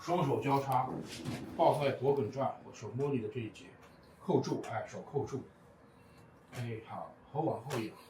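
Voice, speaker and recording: Noticeable background noise sits behind a man with a fairly high pitch. He talks at a fairly slow pace with long, frequent pauses and big swings in loudness. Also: ordinary pitch variation. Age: 50s. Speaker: TCM facial bone-setting practitioner. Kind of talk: instructional talk to a client during treatment. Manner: calm, gentle.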